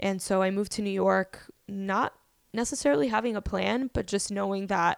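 A woman with an American accent and an ordinary speaking voice talks at a moderate pace in a medium pitch, the recording very clean with a silent background and a dry, close sound with no echo. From Miami, Florida. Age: 20s. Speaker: podcast host. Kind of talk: casual chat.

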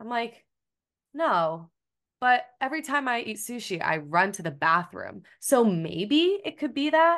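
Against a quiet background, a woman with a fairly high pitch speaks at a fairly slow pace, with very wide pitch swings and big swings in loudness. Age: 20s. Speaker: registered dietitian. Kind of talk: interview conversation. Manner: animated.

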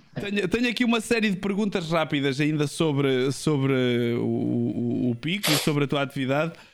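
A fairly high-pitched man with lively intonation and very even loudness, over noticeable background noise. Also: moderate pace. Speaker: streamer talk show host. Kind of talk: interview conversation. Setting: home studio, livestream.

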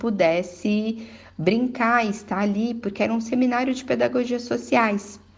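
A fairly high-pitched woman's voice, an unremarkable speaking voice. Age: 30s. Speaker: entrepreneur and mother sending a testimony. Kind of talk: recorded testimony.

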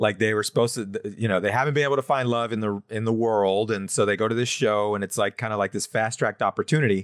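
Dry and close with no echo, the very clean recording has a silent background. A man talks at a very fast pace with hardly any pauses. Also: fairly low pitch for a man, fairly even intonation. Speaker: co-host or panelist. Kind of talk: casual podcast chat.

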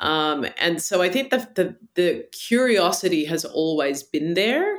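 A woman with an Australian accent speaks at a fairly slow pace. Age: 40s. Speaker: meditation teacher. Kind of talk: interview conversation.

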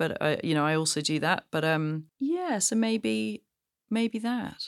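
Her intonation lively, a woman with a southern English accent talks at a fairly low pitch. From England, Gloucestershire. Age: 40s. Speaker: shoe designer. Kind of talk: interview. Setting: studio.

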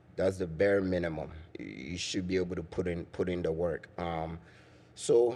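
The man's voice sits very deep and low. It has a dark, mellow tone. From Ghana. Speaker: soccer mentor and coach. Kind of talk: interview.

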